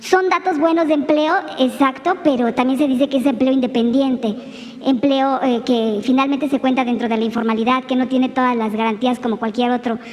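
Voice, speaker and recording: A woman speaks at a fairly quick pace in a high voice with ordinary pitch variation. Noticeable background noise runs underneath. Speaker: journalist. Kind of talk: press conference question.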